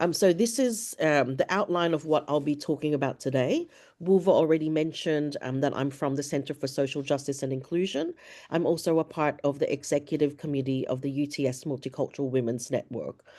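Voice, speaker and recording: Speaking at a fairly quick pace, a woman has a very deep, low pitch, a dark, mellow tone and ordinary pitch variation over a quiet background. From Filipino background. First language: Ilocano. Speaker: academic diversity and inclusion coordinator. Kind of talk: webinar presentation.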